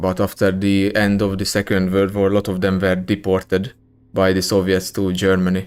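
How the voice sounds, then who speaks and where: In a very clean recording with a silent background, a man with a strong Hungarian accent speaks at a moderate pace in a very deep, low pitch with monotone, flat intonation. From Hungary. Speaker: gaming streamer. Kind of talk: live gameplay stream chat. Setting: live stream. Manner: casual, many fillers and hesitations.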